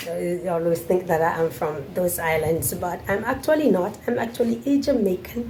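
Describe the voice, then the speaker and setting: A woman speaks at a moderate pace in a fairly low voice, her pitch swinging very widely over noticeable background noise. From Jamaica, Montego Bay. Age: 40s. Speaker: vlogger. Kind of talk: Q&A monologue to camera.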